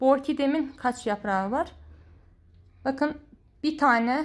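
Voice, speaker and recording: A woman's high-pitched voice at a moderate pace, ordinary pitch variation, quiet background. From Georgia (Azerbaijani community). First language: Azerbaijani (speaking Turkish). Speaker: plant care vlogger; home orchid care vlogger. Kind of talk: tutorial; casual chat. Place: home room. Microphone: phone near.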